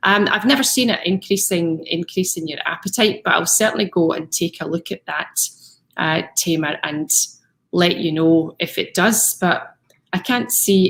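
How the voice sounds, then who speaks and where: A woman has an unremarkable speaking voice at a medium pitch, with ordinary pitch variation. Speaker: fitness coach. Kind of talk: live stream talk.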